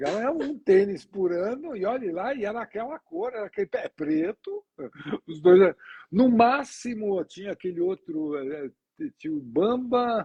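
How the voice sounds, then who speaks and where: This man's high voice rises and falls across very wide pitch swings. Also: moderate pace. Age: 70s. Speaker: sales trainer and talk show host. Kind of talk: casual interview chat. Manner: conversational, storytelling with self-corrections.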